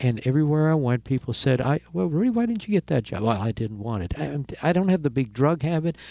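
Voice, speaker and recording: On a very clean recording with a silent background and a dry, close sound with no echo, a man with a fairly high pitch and a dark, mellow tone uses lively intonation. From Germany. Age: 60s. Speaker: sports broadcaster. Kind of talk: interview.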